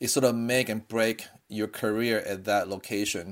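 A man with a non-native accent speaks at a medium pitch and moderate pace, in a monotone, flat intonation. The recording is very clean, with a silent background. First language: not English. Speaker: surgeon and fellowship program director. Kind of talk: informal interview chat.

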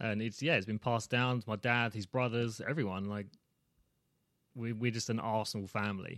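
In a British accent, a man speaks at medium pitch and a fairly quick pace. His intonation is fairly even, and the recording is very clean with a silent background. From England. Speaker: dad guest. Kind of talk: casual chat.

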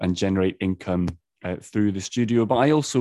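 Against a quiet background, a man speaks with a very deep, low pitch and a dark, mellow tone, his intonation fairly even and the sound dry and close with no echo. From Edinburgh, Scotland. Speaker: artist and art teacher. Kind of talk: casual interview chat.

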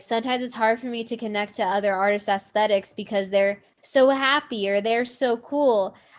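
Speaking at a moderate pace, a woman with an American accent has a normal speaking voice and a fairly high pitch. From Southern California. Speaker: indie rock songwriter. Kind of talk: casual interview.

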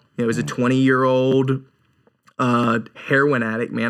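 Bright and sharp in tone, a man's medium-pitched voice keeps a fairly even intonation. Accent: American. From North Carolina. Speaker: evangelist. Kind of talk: casual interview, testimony.

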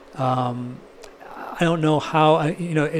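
A man with ordinary pitch variation against noticeable background noise. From US West Coast, San Francisco Bay Area. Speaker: experimental guitarist. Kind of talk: casual interview.

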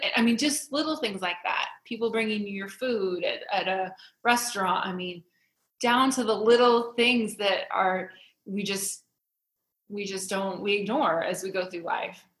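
This woman speaks with a Midwestern US accent. Her pace is fairly slow. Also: medium pitch for a woman, ordinary pitch variation. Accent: US Midwest. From Iowa. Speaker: shop owner, entrepreneur. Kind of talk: interview conversation.

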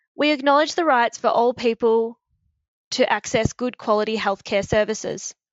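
A woman's fairly high voice with an Australian accent, at a moderate pace, with ordinary pitch variation and very even loudness. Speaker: podcast host. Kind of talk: scripted intro with casual interview. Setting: shared office, recorded together.

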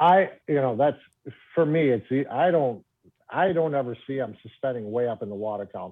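A man with an American accent has an ordinary speaking voice at medium pitch. His intonation is lively and his pace moderate. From Michigan, Trenton area. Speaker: professional bass angler. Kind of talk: casual interview.

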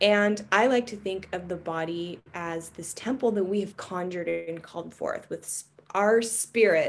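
With a plain, everyday voice, she speaks at a medium pitch and her pitch varies in an ordinary way. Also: fairly slow pace, hardly any pauses. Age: 40s. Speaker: embodiment practitioner. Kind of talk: casual chat.

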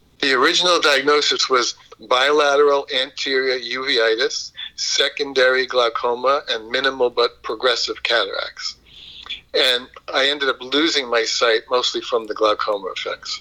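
With a New York accent, a man talks at a moderate pace. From Brooklyn, New York. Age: 70s. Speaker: yoga instructor and counselor, blind Air Force veteran. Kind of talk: interview conversation.

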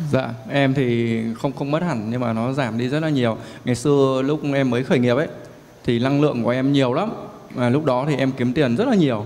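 There is audible room echo and noticeable background noise. Through it, a man speaks at a fairly quick pace. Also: medium pitch for a man, ordinary pitch variation. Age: 20s. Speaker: young entrepreneur seeking advice. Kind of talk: coaching Q&A. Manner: deferential, hesitant.

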